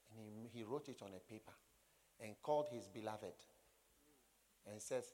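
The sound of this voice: A man talks at a moderate pace with ordinary pitch variation. His pitch is fairly low and his tone dark and mellow.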